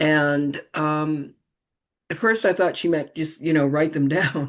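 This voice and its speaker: In an American accent, a woman with a very deep, low pitch speaks at a fairly slow pace against a quiet background. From US Northeast, Boston. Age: 60s. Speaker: reverend and author. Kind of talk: interview.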